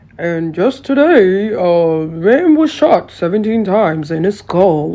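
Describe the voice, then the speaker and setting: A put-on character voice at a middle pitch. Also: fairly slow pace. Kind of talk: formal broadcast news. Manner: calm, detached, matter-of-fact.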